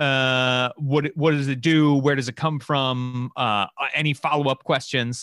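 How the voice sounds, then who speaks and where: A man talks at a fairly slow pace with hardly any pauses, his pitch medium. The sound is dry and close, with no echo. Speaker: game designer. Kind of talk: casual chat. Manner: animated.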